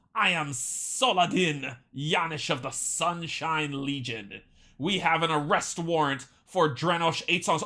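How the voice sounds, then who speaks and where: The voice is a put-on character voice with a middle pitch. Its pace is fairly slow. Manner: commanding.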